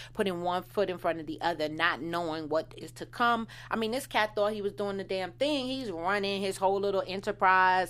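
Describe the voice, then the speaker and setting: A woman with an American accent and an ordinary speaking voice, medium in pitch with ordinary variation, at a fairly quick pace in a very clean recording with a silent background. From Washington DC. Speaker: TV recap podcast co-host. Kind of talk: casual chat; audience appeal. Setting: studio.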